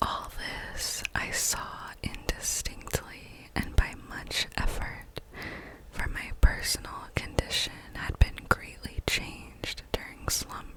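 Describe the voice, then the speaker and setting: A woman whispers at a very slow pace, with long, frequent pauses, big swings in loudness, and noticeable background noise. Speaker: ASMR creator. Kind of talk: whispered ASMR story reading. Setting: home recording with condenser microphone. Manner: whispered, soft-spoken.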